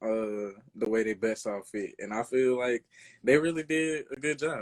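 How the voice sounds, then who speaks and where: A man with a Louisiana accent speaks at a medium pitch. His pace is moderate and his pitch variation ordinary. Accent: Louisiana country. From Louisiana, US South. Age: 20s. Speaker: rapper and producer. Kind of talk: interview. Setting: live stream interview. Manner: casual, halting with fillers.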